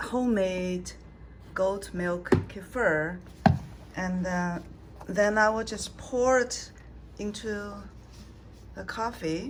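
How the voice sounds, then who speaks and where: Noticeable background noise sits behind a woman speaking at a very slow pace with long, frequent pauses. Her pitch is medium, with ordinary variation. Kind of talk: casual talk to camera.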